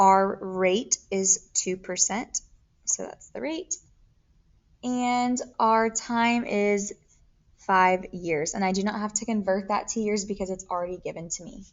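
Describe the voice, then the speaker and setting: Ordinary pitch variation and a fairly slow pace describe an ordinary speaking voice. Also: woman, medium pitch for a woman. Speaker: math teacher. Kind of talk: tutorial.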